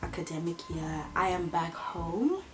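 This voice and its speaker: With faint music in the background, a woman speaks at a very slow pace and with ordinary pitch variation. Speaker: vlogger. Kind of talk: casual vlog chat. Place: home room. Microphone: camera far.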